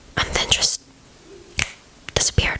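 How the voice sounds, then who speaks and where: Whispering, a woman speaks at a moderate pace. Noticeable background noise is present. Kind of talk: true crime ASMR narration. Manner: whispered.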